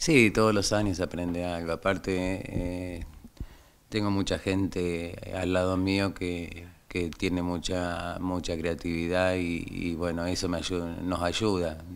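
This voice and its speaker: A man with an Argentine accent, very deep and low in pitch, flat and monotone in intonation, at a very slow pace. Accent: Rioplatense Argentine Spanish. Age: 60s. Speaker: carnival troupe director. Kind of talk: interview.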